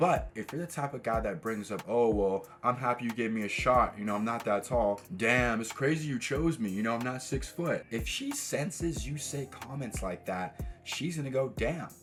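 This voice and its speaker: Over noticeable background noise, a man with an American accent speaks at a medium pitch with ordinary pitch variation and hardly any pauses. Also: moderate pace. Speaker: dating and self-improvement coach. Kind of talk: motivational talk to camera. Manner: rolls some words too much.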